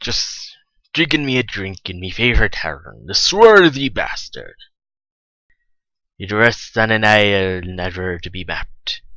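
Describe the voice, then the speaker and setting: Speaking in a put-on character voice, a man uses a fairly low pitch and a moderate pace, with long, frequent pauses. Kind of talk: tall-tale pirate yarn. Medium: solo performance. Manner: swaggering, rambling, wry.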